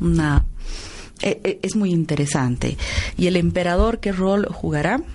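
Long, frequent pauses break up a woman's speech over noticeable background noise. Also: fairly slow pace. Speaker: radio host. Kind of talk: radio interview. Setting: radio studio.

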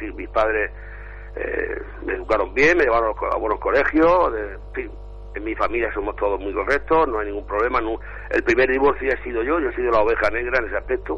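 A man speaks at a very fast pace. Background noise is noticeable. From Spain. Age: 60s. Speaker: caller. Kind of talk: live phone-in.

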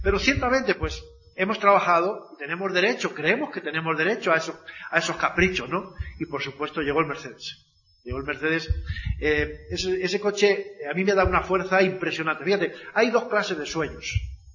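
A man with a high pitch speaks at a fairly quick pace with ordinary pitch variation. Noticeable background noise is present. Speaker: network marketing speaker. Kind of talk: motivational talk.

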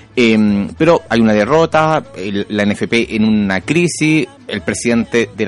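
Against noticeable background noise, a man speaks at a fairly low pitch. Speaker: radio host. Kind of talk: radio interview.

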